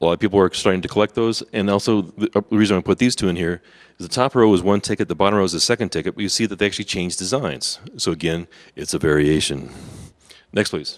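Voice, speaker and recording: The speech comes at a very fast pace on a very clean recording with a silent background. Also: man, fairly low pitch for a man, ordinary pitch variation, dry, close sound with no echo. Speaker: convention workshop presenter. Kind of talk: seminar presentation with slides.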